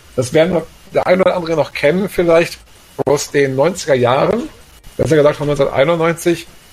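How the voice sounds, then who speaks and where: Noticeable background noise runs behind a man's voice. He speaks at a moderate pace with ordinary pitch variation. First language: German. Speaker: podcast co-founder and co-host. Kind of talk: casual chat.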